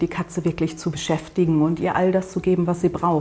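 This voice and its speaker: Her pitch is fairly low for a woman, in a monotone, flat delivery. She keeps a fairly quick pace. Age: 50s. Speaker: cat-sitting agency owner. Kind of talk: interview.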